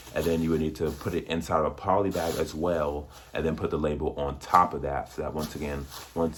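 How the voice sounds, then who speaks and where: A man at a fairly quick pace. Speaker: online seller and tutorial creator. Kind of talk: tutorial. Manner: fast; casual.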